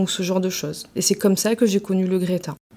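A woman talks at a medium pitch. Her pace is moderate. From Marseille, southern France. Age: 30s. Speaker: career training advisor. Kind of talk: interview. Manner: hesitant, frequent fillers.

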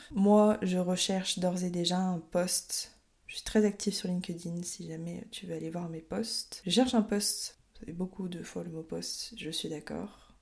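A woman speaks at a fairly slow pace in a somewhat breathy voice. Her loudness swings widely. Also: medium pitch for a woman. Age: 20s. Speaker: podcast host. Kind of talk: solo podcast monologue. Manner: casual, some hesitations.

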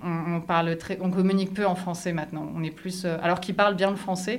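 A woman at medium pitch and moderate pace, with monotone, flat intonation and audible room echo. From France. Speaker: French expat in a binational couple. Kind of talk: interview.

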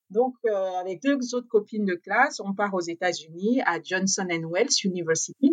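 Her intonation is lively. The woman's delivery is very slow. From Gabon. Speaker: chef. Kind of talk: interview. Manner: hesitant, many fillers.

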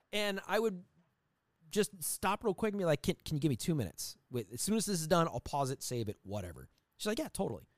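High-pitched and racing at a very fast pace, a man's voice makes very wide pitch swings in a very clean, dry, close recording with a silent background and no echo. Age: 40s. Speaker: retired police motor officer and podcaster. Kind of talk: casual interview chat. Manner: articulate, talkative.

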